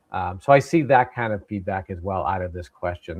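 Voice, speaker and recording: A man with an American accent speaks at a fairly quick pace. His intonation is lively. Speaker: tech session host. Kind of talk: live webinar Q&A.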